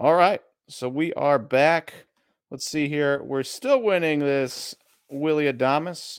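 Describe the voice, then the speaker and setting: Someone speaks at a fairly slow pace with an American accent. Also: man. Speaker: sports card livestream co-host. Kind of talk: casual livestream chat. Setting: online livestream.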